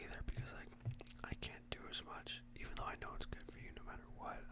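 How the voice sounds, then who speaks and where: Someone is whispering. The pace is very fast. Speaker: ASMR creator. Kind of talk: whispered ASMR ramble. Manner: whispered; rambling, casual.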